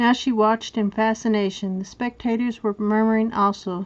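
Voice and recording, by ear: The intonation holds fairly even. A natural voice reads the text aloud.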